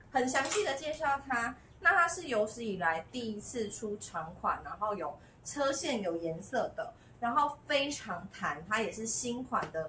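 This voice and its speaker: Light background noise is audible. A woman is talking. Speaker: online clothing seller. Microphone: phone near.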